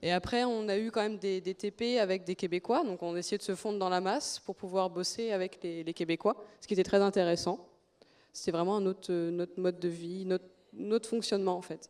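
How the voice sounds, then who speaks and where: A woman with an unremarkable speaking voice at a medium pitch. She talks at a fairly quick pace with fairly even intonation. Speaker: student. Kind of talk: testimony.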